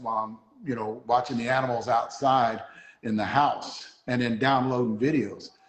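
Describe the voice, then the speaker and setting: Fairly quick in pace, a man speaks at a medium pitch. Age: 60s. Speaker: bat reviewer and channel host. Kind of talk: casual chat. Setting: live stream. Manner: fast when excited; animated.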